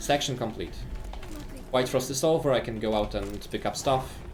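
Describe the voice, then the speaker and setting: Audible room echo surrounds a man talking at a moderate pace with long, frequent pauses. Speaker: video game speedrunner and streamer. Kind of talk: live gameplay commentary. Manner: animated.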